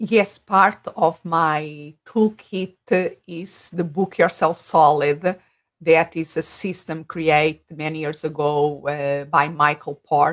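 A woman with a Portuguese accent speaks very slowly in a very deep, low voice, with fairly even intonation and hardly any pauses. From Portugal. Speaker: business coach. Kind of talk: interview on livestream. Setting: video call. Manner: halting.

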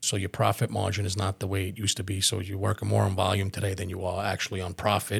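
A man's very deep, low voice with vocal fry, monotone and flat, at a very fast pace with hardly any pauses, on a very clean recording with a silent background. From Staten Island, New York (born in Calabria, Italy). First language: Italian. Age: 40s. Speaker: restaurant owner. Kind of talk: podcast interview.

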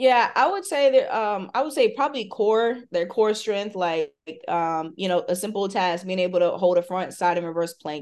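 A woman's unremarkable speaking voice, medium-pitched, with an American accent, lively intonation and a moderate pace against a quiet background. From US South, Hampton, Virginia. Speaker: strength and conditioning coach. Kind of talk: casual chat.

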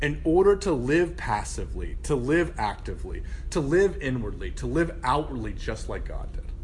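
Noticeable background noise sits under a man who talks at a moderate pace. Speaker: campus minister. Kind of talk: sermon. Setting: speaking to a live group. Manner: casual, with many fillers.

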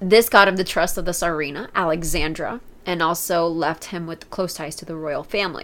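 With an American accent, a woman speaks in an unremarkable speaking voice, fairly low in pitch, at a fairly quick pace, her intonation fairly even and her loudness swinging widely. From United States. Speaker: podcast co-host. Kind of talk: casual chat. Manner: laughs often.

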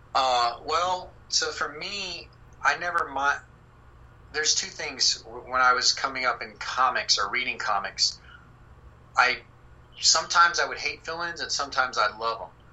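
Over noticeable background noise, a man talks at a moderate pace with long, frequent pauses. His fairly high voice has lively intonation. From Texas. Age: 30s. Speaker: comic book artist. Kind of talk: casual chat. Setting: video call.

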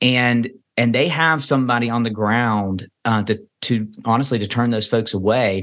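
A man with a Kentucky accent at medium pitch, with fairly even intonation, very even loudness and a moderate pace, against a quiet background. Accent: Kentucky Southern American. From Kentucky, US South. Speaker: pastor. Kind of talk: interview. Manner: halting, many repetitions.

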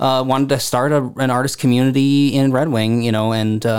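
A man's medium-pitched voice with an American accent, a plain, everyday voice, moderate pace and ordinary pitch variation. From Southeast Minnesota (Harmony). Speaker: arts program director. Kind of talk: casual interview.

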